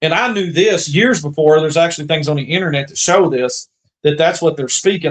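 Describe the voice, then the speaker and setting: A man with an Appalachian accent speaks in a fairly high voice. His pitch moves in an ordinary way. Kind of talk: casual chat. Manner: animated.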